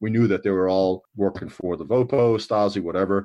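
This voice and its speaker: A man talks in an ordinary speaking voice, with ordinary pitch variation. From US, New York City. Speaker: army veteran. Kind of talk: interview, recounting memories.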